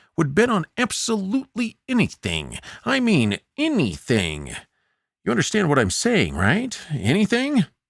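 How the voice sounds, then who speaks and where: A man's high-pitched put-on character voice at a moderate pace, very even in loudness, with a dry, close sound and no echo. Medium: read story. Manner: slow, deliberate, drawn-out pauses.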